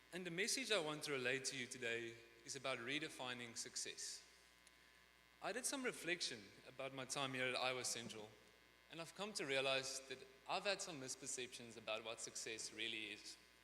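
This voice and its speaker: A man with a slight non-native accent speaks fairly quickly at a medium pitch, his intonation lively. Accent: slight foreign. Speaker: graduating student speaker. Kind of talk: commencement speech.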